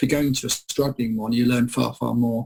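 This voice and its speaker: Somewhat breathy and very fast, the voice has an English accent and monotone, flat intonation. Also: man. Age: 50s. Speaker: property expert. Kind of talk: radio interview. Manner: halting.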